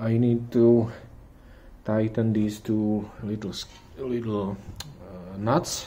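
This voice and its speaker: With a non-native accent, a man talks at a very slow pace and a medium pitch. Audible room echo surrounds his voice. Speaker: car hobbyist YouTuber. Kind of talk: tutorial. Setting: garage. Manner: halting.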